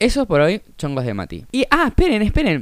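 Animated in tone, a man talks at a fairly quick pace with a high pitch and very wide pitch swings. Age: 20s. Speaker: podcaster. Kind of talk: casual monologue.

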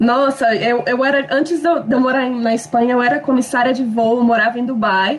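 A woman speaks in a high voice at a moderate pace. Her loudness stays very even, with hardly any pauses. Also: ordinary pitch variation. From Brazil, Minas Gerais / Espírito Santo. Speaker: former flight attendant, expat. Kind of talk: casual group chat.

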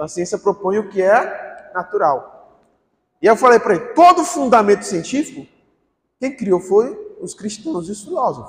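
Pitched high, a man speaks at a moderate pace with very wide pitch swings and big swings in loudness. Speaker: pastor. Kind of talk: sermon. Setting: church. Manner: animated, informal, joking.

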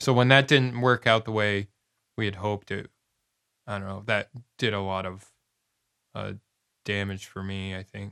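A man's fairly low, bright, sharp voice at a moderate pace, with fairly even intonation, long and frequent pauses, and big swings in loudness, in a very clean recording with a silent background and a dry, close sound with no echo. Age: 30s. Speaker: metal musician. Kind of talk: casual interview.

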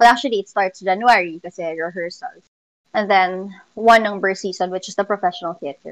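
A woman with a plain, everyday voice, medium pitch, fairly even intonation, big swings in loudness and a fairly quick pace, in a dry, close sound with no echo. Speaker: musical theater performer and music teacher. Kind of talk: interview.

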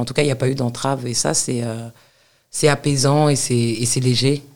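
This woman has a very deep, low pitch and fairly even intonation. She speaks at a moderate pace. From Paris suburbs, France. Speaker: university lecturer and author. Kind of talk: interview conversation.

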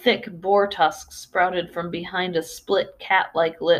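The intonation stays fairly even throughout a natural reading voice.

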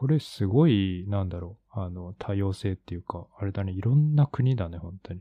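A man's somewhat breathy voice at a fairly low pitch, ordinary pitch variation, big swings in loudness and hardly any pauses. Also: moderate pace. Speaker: podcast co-host, art practitioner. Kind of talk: casual chat.

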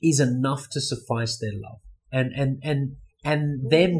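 With an Australian accent, a man speaks at medium pitch, somewhat breathy, with fairly even intonation. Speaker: guest, expat YouTuber.

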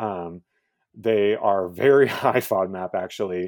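An unremarkable speaking voice from a man with an American accent, fairly low in pitch, with ordinary pitch variation and a fairly slow pace. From Texas, Houston. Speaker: cooking show host. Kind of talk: interview.

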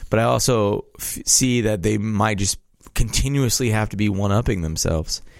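A man's ordinary speaking voice, fairly low in pitch with ordinary pitch variation, at a moderate pace on a very clean recording with a silent background. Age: 20s. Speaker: podcast co-host. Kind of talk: casual chat.

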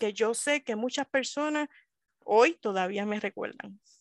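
A woman speaks with lively intonation. The sound is dry and close with no echo, over a quiet background. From Puerto Rico, Río Piedras. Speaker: librarian. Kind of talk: interview.

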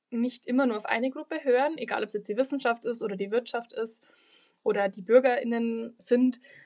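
This woman's voice sits high in pitch, and her intonation stays fairly even. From Lower Bavaria, Germany. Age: 20s. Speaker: local politician and student. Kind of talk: podcast interview.

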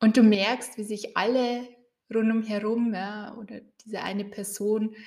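Somewhat breathy, a woman talks at a very slow pace with fairly even intonation. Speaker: coach and podcast host. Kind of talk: guided meditation. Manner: calm, slow, soothing, with gentle pauses.

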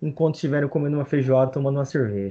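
Fairly high-pitched male speech, its pitch varying in an ordinary way. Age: 30s. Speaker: podcast host. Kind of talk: casual chat.

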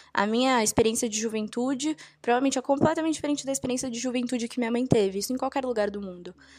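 Pitch varies in an ordinary way as the words come out at a very fast pace. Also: woman, high pitch for a woman. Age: 20s. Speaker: university student. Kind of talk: panel discussion.

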